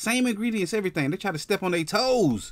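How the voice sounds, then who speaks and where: Fairly quick male speech over a quiet background. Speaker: online commentator. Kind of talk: casual commentary.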